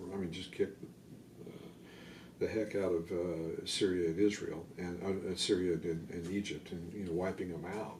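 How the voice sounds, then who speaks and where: Somewhat breathy and very deep, a man's voice stays monotone and flat amid audible room echo. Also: moderate pace. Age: 60s. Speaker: army veteran. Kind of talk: oral history interview. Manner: hesitant, many fillers and repetitions.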